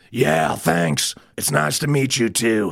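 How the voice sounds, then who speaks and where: A raspy put-on character voice from a man, fairly low in pitch, slow-ish in pace, with very wide pitch swings. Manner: casual.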